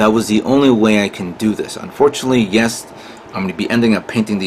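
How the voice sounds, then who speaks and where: Over noticeable background noise, a man speaks fairly quickly at a medium pitch with ordinary pitch variation. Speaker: model kit builder. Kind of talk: tutorial. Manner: halting.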